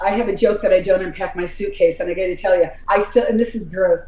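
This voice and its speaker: A woman talks at a very fast pace in an animated tone over noticeable background noise. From upstate New York. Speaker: heavy metal vocalist. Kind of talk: casual interview.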